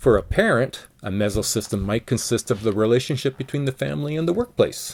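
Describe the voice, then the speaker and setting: With hardly any pauses, a man speaks at a medium pitch with lively intonation. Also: fairly quick pace. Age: 60s. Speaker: college lecturer. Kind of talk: lecture. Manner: halting.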